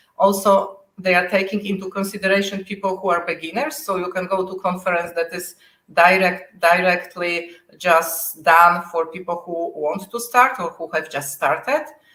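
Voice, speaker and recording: A woman with a Polish accent, a bright, sharp tone and ordinary pitch variation. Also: medium pitch for a woman, moderate pace. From Poland. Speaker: software test manager. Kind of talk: interview. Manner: halting.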